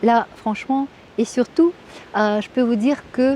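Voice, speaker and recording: Over noticeable background noise, a woman with a Russian accent speaks at a fairly high pitch with ordinary pitch variation. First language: Russian (speaking French). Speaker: Russian language teacher. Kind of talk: interview. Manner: halting, many hesitations.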